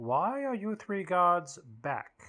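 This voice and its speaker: A put-on character voice at a middle pitch. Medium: solo performance. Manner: suspicious, imperious.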